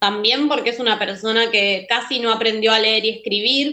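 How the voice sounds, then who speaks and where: A woman with an ordinary speaking voice and a fairly high pitch talks at a moderate pace. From Argentina. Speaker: filmmaker. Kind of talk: interview. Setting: remote call.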